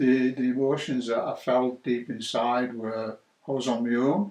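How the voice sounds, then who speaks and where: This is a man's voice. He speaks with a Cumbrian accent. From northern England, Carlisle, Cumbria. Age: 60s. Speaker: churchgoer sharing faith story. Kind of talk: testimony. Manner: hesitant, with many fillers.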